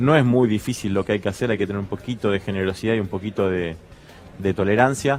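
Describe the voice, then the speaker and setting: A man at a very fast pace with ordinary pitch variation, music in the background. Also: fairly low pitch for a man. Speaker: small business association representative. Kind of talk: TV panel discussion.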